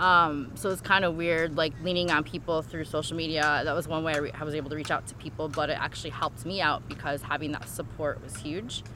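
A woman talks at a very fast pace with hardly any pauses. Her voice is very deep and low, with fairly even intonation. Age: 40s. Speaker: cancer survivor and caregiver. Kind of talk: personal testimony.

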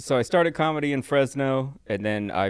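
In a normal speaking voice, a man talks at a fairly quick pace and medium pitch with lively intonation. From Southern California (Riverside). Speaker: comedian. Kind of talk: casual chat.

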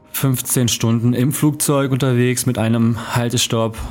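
A man speaks with medium pitch. Background noise is noticeable. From Germany. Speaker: podcast host. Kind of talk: solo podcast monologue. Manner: casual, conversational.

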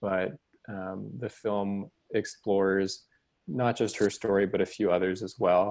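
In a normal speaking voice with an American accent, a man talks at a fairly slow pace and fairly low pitch, with fairly even intonation, over a quiet background. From Texas, Houston. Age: 20s. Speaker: documentary filmmaker. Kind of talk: casual interview chat.

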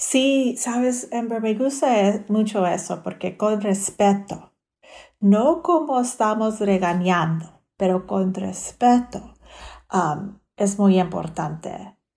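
In a very clean recording over a silent background, a woman speaks at a very slow pace with a dark, mellow tone that is somewhat breathy. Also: medium pitch for a woman. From South Texas. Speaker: dental hygienist, public health. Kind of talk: interview. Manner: frequent filler hesitations; mixes English and Spanish.

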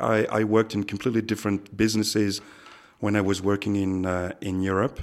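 Speaking with a French accent, a man talks at a fairly quick pace and a fairly low pitch. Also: very clean recording, silent background. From France and Africa. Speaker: expat businessman. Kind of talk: interview. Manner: halting, many repetitions.

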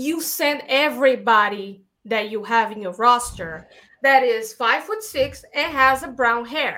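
Speaking at a fairly slow pace with a Brazilian accent, a woman has a high pitch, a bright, sharp, animated tone and ordinary pitch variation. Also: big swings in loudness. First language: Portuguese. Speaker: filmmaker and actress. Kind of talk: casual interview. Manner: animated, laughs often.

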